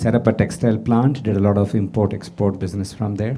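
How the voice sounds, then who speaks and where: A man with a fairly low voice speaks fairly quickly as music plays behind him. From India. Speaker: businessman, panelist. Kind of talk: panel discussion.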